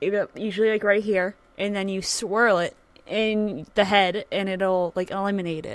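A woman with a normal speaking voice and an American accent, at a medium pitch and a fairly slow pace. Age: 30s. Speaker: streamer. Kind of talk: casual chat. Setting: live stream.

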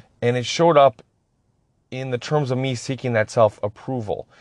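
A man's plain, everyday voice at medium pitch, with an American accent, at a moderate pace, in a dry, close sound with no echo. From Upper Peninsula of Michigan. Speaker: podcast host in addiction recovery. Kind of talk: personal testimony monologue.

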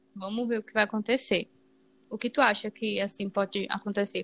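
A woman with a Brazilian accent speaks in a bright, sharp tone at a fairly high pitch, with fairly even intonation and a dry, close sound with no echo. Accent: non-Paulista regional accent, uses tu. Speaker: podcast co-host. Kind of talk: casual chat.

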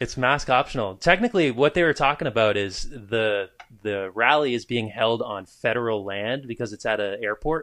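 Against a quiet background, a man with an American accent and an ordinary speaking voice talks at a moderate pace and medium pitch, with ordinary pitch variation and hardly any pauses. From New Hampshire, US. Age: 20s. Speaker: musician guest. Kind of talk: casual chat.

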